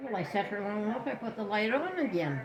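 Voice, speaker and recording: A woman talks at a moderate pace. Background noise is noticeable behind her. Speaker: elderly woman in care. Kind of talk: casual chat.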